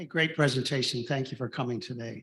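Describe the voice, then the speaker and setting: On a very clean recording with a silent background, a man speaks at a fairly quick pace and medium pitch, somewhat breathy, with fairly even intonation. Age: 80s+. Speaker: club member asking a question. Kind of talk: audience comment.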